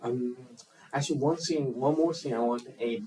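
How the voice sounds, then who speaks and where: A man with a Chinese accent. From China. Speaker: filmmaker. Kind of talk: interview. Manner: halting, many fillers.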